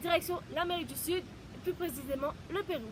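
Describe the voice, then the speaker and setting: The voice has a Mauritian accent. Its pitch varies in an ordinary way. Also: woman. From Mauritius. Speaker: holistic therapist. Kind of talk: personal introduction vlog. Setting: outdoors in mountains. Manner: halting.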